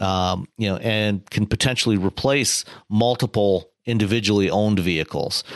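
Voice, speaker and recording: A man speaks at a fairly slow pace with a fairly low pitch and ordinary pitch variation. The background is quiet. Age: 50s. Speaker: automotive journalist and podcast co-host. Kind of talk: casual chat. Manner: halting, many fillers.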